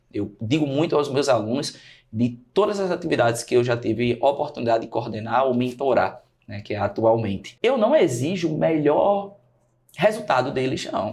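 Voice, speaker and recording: This man talks at a moderate pace in a medium, somewhat breathy voice with lively intonation. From Brazil, Natal (Rio Grande do Norte). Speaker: teacher and study mentor. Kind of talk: podcast interview.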